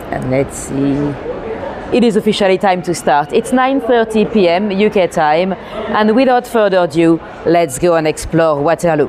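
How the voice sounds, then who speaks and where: Amid crowd noise and audible room echo, a woman with a French accent speaks at a moderate pace and medium pitch, her intonation lively and her loudness very even. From France. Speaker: walking tour guide. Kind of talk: live-streamed narrated walk. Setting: outdoors and in a train station at night. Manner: hesitant, many fillers.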